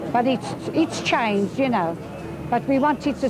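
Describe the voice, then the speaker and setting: A woman speaks fairly quickly with lively intonation. Noticeable background noise and audible room echo come through. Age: 60s. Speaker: local resident. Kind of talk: interview.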